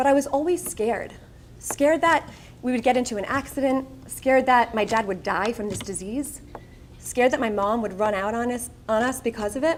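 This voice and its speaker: In a Long Island accent, a woman speaks at a high pitch and fairly quick pace with ordinary pitch variation. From Long Island, New York. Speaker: speaker. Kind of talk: motivational speech.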